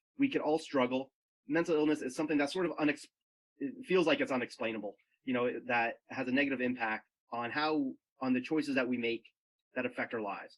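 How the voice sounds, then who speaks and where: Speaking at a very fast pace, a man leaves long, frequent pauses. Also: medium pitch for a man, ordinary pitch variation. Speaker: addictions recovery coach. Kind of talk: presentation in a conversation. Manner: halting, some stumbling.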